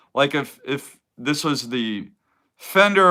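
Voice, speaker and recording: A man speaks with a bright, sharp tone at a fairly high pitch. His intonation is lively, and his tone is relaxed. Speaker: sports card collector YouTuber. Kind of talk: casual live stream chat. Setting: home man cave, live stream. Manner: relaxed, rambling with hesitations.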